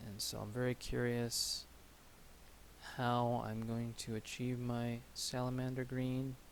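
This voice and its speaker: A soft-spoken man at medium pitch, very slow and monotone, with flat intonation. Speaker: miniature painting streamer. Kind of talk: casual live-stream commentary while painting. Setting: live stream at a hobby table. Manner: soft-spoken, quiet. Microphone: audio was too quiet last stream, settings changed.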